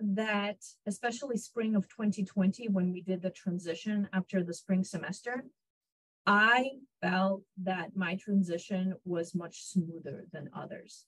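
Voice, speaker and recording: Somewhat breathy, a woman with a medium-pitched voice and ordinary pitch variation speaks at a fairly slow pace. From Israel (born in Ukraine). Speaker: psychology professor. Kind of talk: interview. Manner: hesitant, many fillers.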